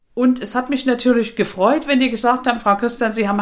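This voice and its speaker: A woman talks at a very fast pace in a high voice with ordinary pitch variation. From Saxony, eastern Germany. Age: 50s. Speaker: life coach and podcast host. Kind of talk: personal life story monologue.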